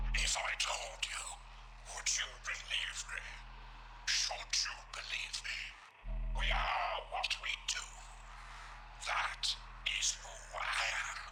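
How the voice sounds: A man whispers in a put-on character voice at a fairly slow pace, leaving long, frequent pauses. Loud background noise runs underneath.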